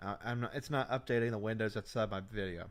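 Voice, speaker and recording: In a very clean recording with a silent background, a man speaks loudly at a medium pitch. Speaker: livestream host, football commentator. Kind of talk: casual live stream commentary. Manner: halting.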